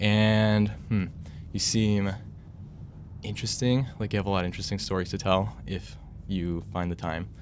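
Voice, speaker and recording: Audible room echo, a moderate pace, long, frequent pauses and ordinary pitch variation. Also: man, fairly low pitch for a man. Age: young. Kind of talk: casual chat. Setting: studio.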